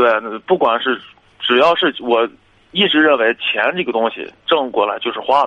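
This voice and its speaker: With long, frequent pauses, a man speaks at a moderate pace, his pitch fairly high with ordinary variation. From Shanxi, Taiyuan. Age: 20s. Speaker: caller seeking relationship advice. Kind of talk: call-in advice conversation.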